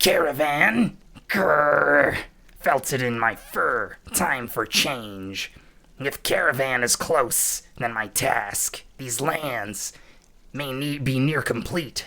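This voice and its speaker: A man's gruff, raspy, growling put-on character voice, medium in pitch with ordinary pitch variation, at a very slow pace. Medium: game stream. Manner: gruff, broken grammar, growling.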